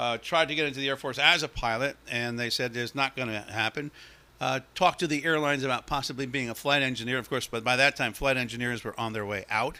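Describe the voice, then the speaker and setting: With an American accent and a bright, sharp tone, a man talks at a very fast pace in a medium pitch and a fairly even intonation. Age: 60s. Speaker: meteorologist, podcast host. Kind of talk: casual monologue, personal history. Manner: relaxed, with frequent fillers.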